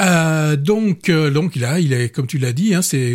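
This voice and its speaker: The voice is somewhat breathy, with lively intonation. The pace is fairly slow. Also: man. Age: 40s. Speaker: film critic radio host. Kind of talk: casual chat. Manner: halting, frequent repetitions.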